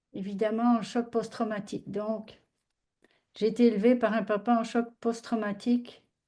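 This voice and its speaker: At a fairly slow pace, a woman speaks with a fairly high pitch and a dark, mellow tone. Her intonation is monotone and flat, and the background is quiet. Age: 70s. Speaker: audience participant. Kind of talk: personal testimony.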